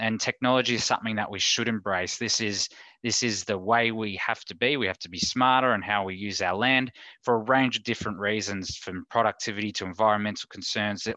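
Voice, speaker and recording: Fairly quick speech from a man with an Australian accent, fairly low in pitch, with a bright, sharp tone and fairly even intonation, dry with no echo over a quiet background. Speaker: insurance advice services manager. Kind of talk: online talk presentation. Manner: casual, hesitant with many fillers. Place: home room. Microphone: headset.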